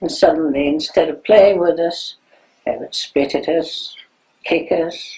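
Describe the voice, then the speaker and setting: Speaking fairly slowly, a woman talks with a German accent. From Germany. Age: 90s. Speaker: Holocaust survivor. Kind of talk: testimony.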